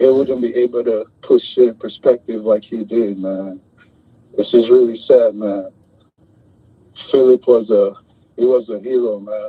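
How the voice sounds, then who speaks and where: In a New York accent, the speaker talks at a fairly slow pace with monotone, flat intonation. Long, frequent pauses break up the speech. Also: man, medium pitch for a man. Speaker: caller. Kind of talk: emotional tribute call.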